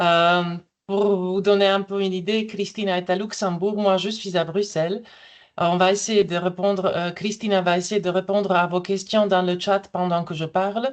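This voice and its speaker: In a medium pitch, a woman talks at a moderate pace with monotone, flat intonation. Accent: non-native. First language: not French (speaking French). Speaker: EU translation official presenting AI tools. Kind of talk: webinar presentation. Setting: online webinar. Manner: hesitant, many fillers.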